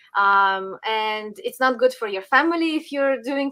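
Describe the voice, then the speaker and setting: In a Ukrainian accent, a woman uses a raised, projected voice with a high pitch and a bright, sharp tone, speaking at a fairly slow pace on a very clean recording with a silent background. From Western Ukraine. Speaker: political commentator. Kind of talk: interview.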